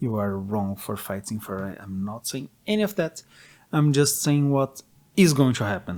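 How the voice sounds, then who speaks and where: At a fairly slow pace, a man speaks with a Portuguese accent and ordinary pitch variation. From Brazil. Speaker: gaming commentator. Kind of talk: opinion monologue.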